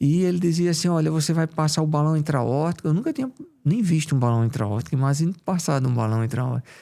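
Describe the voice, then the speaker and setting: Speaking at a very fast pace in a strong Paraíba accent, a man with a fairly high pitch and a dark, mellow tone uses lively intonation at very even loudness in a very clean recording with a silent background. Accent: strong Paraíba northeastern. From Paraíba, Brazilian Northeast. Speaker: cardiologist. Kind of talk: interview.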